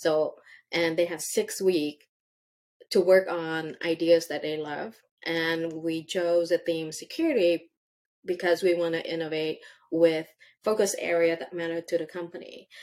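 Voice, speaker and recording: On a very clean recording with a silent background, a woman speaks at a fairly slow pace and a fairly low pitch. Her intonation is monotone and flat, while her loudness swings widely. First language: not English. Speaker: tech executive. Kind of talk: interview answers, conversational. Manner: halting, with fillers.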